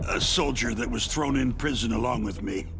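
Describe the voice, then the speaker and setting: A man's cartoonish character voice in a medium pitch, at a fairly quick pace, over loud background noise. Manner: nervous, stammering.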